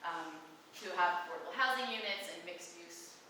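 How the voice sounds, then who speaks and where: With noticeable background noise and audible room echo, a woman speaks at a fairly low pitch. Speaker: social planning policy researcher. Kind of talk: public forum presentation. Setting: public forum with audience. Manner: fast.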